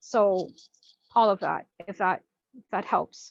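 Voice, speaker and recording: A woman speaks in an ordinary speaking voice at a fairly high pitch with fairly even intonation. The sound is dry and close, with no echo. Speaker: spiritual teacher. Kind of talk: online class presentation.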